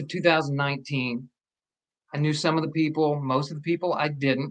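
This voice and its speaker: Speaking at a moderate pace, a man with a slight Southern US accent uses a fairly high pitch. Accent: slight Southern twang. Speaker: actor. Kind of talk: casual chat.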